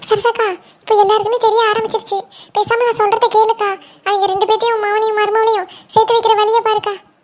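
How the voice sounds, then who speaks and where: A woman performs a cartoonish character voice at an extremely high pitch, moving at a fairly quick pace. Her intonation is monotone and flat, and her loudness stays very even. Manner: wheedling, insinuating.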